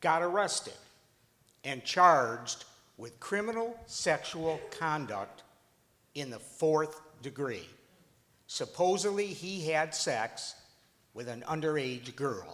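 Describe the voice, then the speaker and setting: A fairly high-pitched man speaks at a very slow pace with long, frequent pauses and a bright, sharp tone. His pitch swings very wide and his loudness swings a lot. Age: 70s. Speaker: father of wrongfully convicted son. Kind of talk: testimony.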